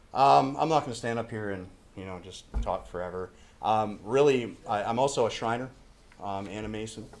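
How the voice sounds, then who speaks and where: Audible room echo surrounds the recording. A man talks at a moderate pace. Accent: American. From northern Maine, US. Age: 40s. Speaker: council applicant. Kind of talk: public comment at council meeting. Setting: city council meeting, podium. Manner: hesitant, many fillers.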